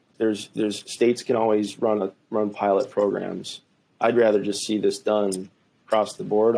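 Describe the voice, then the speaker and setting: In a strong Minnesotan accent, a man speaks at a moderate pace with a dark, mellow tone, a fairly low pitch and a monotone, flat delivery. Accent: thick Minnesota. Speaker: attorney and policy author. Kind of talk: podcast interview conversation.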